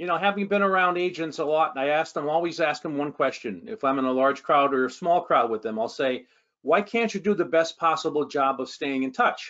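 Against a quiet background, a man talks at a fairly quick pace with lively intonation and hardly any pauses. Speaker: guest. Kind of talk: interview answer. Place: office. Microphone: video call.

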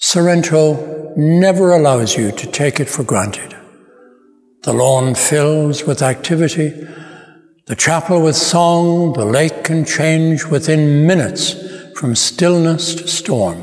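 A man speaks at a very slow pace with ordinary pitch variation against a quiet background. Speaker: narrator. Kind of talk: reflective narration. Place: church.

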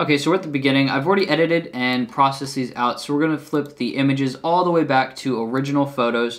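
Against a quiet background, a man talks at a very fast pace with hardly any pauses. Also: ordinary pitch variation. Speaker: camera gear reviewer. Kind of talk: casual video review. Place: home room.

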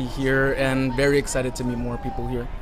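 Over noticeable background noise, a man with an American accent speaks in a fairly high pitch with monotone, flat intonation. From Washington DC area. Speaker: student; guest. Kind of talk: street interview. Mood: pleased, friendly. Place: street. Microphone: phone near.

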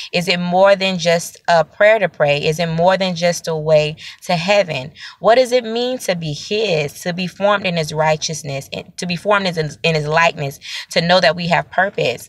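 A woman at a moderate pace, fairly low in pitch with ordinary pitch variation, in a dry sound with no echo. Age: 30s. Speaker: prophet, online preacher; online preacher. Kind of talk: sermon-style video teaching. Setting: self-recorded video. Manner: repetitive, halting with fillers. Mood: earnest, reflective. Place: car. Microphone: phone near.

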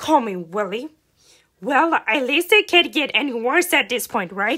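In a cartoonish character voice, a female-sounding speaker uses a high pitch for a woman at a moderate pace. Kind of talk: comic fandub cartoon voice. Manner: indignant, complaining.

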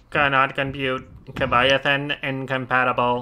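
A man's put-on character voice at a medium pitch, monotone and flat, at a moderate pace. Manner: mock mechanical.

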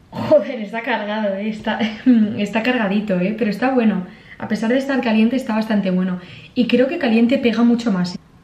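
There is audible room echo as a woman speaks at a fairly quick pace with ordinary pitch variation. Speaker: vlogger. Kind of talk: casual vlog chat. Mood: playful, disgusted reactions. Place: home room. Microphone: camera far.

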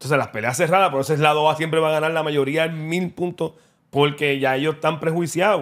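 The delivery is very fast. The intonation stays fairly even. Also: man, fairly high pitch for a man, quiet background. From Puerto Rico. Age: 40s. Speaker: boxing content creator. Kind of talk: casual interview. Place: studio. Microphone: studio mic.

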